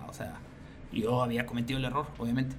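Medium male pitch amid noticeable background noise, with room echo audible. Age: 40s. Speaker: business manager and musician. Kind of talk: interview.

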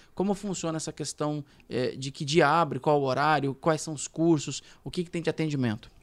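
In a São Paulo accent, a man speaks at a moderate pace and fairly high pitch with fairly even intonation, recorded dry and close with no echo. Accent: Paulistano. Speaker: radio host. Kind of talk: casual chat.

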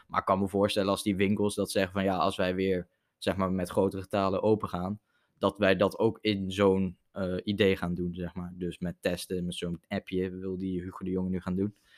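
In a dry, close recording with no echo and a silent background, a man speaks at a moderate pace in a very deep, low voice with monotone, flat intonation. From Netherlands, Zevenaar. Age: young. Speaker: podcast guest. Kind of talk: casual chat.

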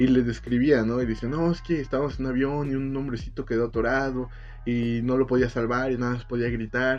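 Monotone, flat intonation marks a man with a Mexican accent speaking at a fairly quick pace and medium pitch. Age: 20s. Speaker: podcast co-host. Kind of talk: casual chat.

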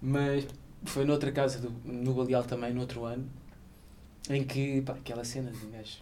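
With a European Portuguese accent and a dark, mellow tone, a man speaks in an echoing room, his loudness swinging widely between long, frequent pauses. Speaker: podcast host. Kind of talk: casual chat. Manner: animated.

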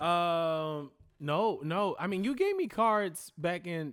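Over a silent background in a very clean recording, the speaker's intonation stays lively. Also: man. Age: 20s. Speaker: actor and card game player. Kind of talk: casual chat. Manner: halting.

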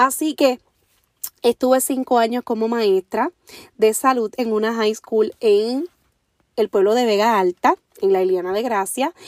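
A woman with a Puerto Rican accent speaks in an animated tone at a fairly slow pace and a fairly high pitch with ordinary pitch variation. Her long, frequent pauses stand out in a dry, close sound with no echo. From Puerto Rico, Orocovis. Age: 30s. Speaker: podcast host, motivational speaker. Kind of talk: motivational monologue.

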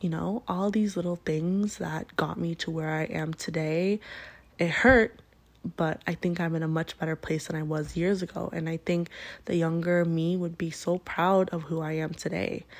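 A normal speaking voice, this woman speaks at a moderate pace and fairly low pitch with fairly even intonation. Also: very clean recording, silent background. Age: 20s. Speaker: podcast host. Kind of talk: casual monologue. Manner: casual with frequent fillers and laughs.

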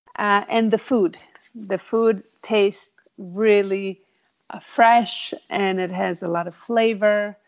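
Fairly even intonation marks this clip. The speaker is a woman. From Italy. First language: Italian. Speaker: interviewee, immigrant. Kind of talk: interview. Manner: hesitant with fillers.

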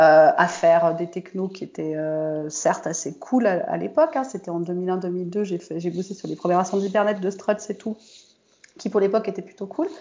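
Here a woman has a normal speaking voice at medium pitch. She talks at a moderate pace with ordinary pitch variation. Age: 40s. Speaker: software developer and IT lead. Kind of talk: casual interview.

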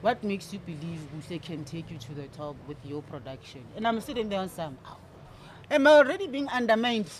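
The voice is somewhat breathy and moves at a fairly quick pace. Its pitch swings very widely, and its loudness rises and falls sharply. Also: woman. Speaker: DJ and record label owner. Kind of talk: casual interview. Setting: studio.

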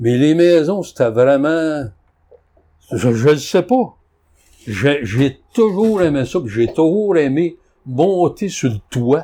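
A man with a dark, mellow tone and a fairly high pitch talks at a very slow pace, his pitch swinging very widely, with long, frequent pauses. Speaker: antique dealer. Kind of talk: casual chat.

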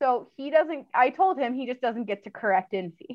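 Using an ordinary speaking voice, a woman talks at a moderate pace with lively intonation. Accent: American. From California, Orange County. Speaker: dog breeder and trainer. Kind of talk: interview.

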